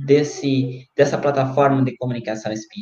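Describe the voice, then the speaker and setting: Here is a man with an unremarkable speaking voice. He talks fairly slowly at a fairly high pitch. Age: 20s. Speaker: web radio host. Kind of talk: casual interview.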